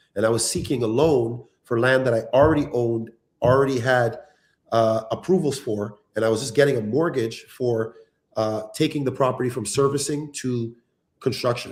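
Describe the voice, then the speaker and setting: A man speaks in a normal speaking voice. His intonation stays fairly even. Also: medium pitch for a man, moderate pace. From Canada, Ontario (Toronto area). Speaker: reality show cast member, real estate developer. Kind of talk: live stream interview.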